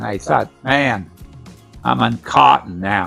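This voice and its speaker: Music plays in the background as a man talks at a very slow pace with very wide pitch swings. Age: 80s+. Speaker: retired tire company manager. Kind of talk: interview answer.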